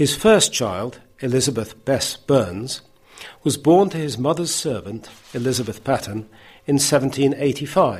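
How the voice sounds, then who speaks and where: Speaking at a very slow pace, a man uses lively intonation. His medium-pitched voice is somewhat breathy. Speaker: editor and presenter of a talking newspaper. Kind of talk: news magazine presenter. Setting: church hall recording.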